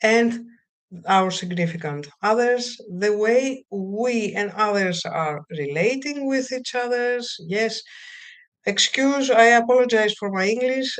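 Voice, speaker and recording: A woman with a fairly high pitch talks very slowly in a Greek accent, her intonation lively amid audible room echo. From Greece. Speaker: counselor. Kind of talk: webinar lecture. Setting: live video stream. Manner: halting.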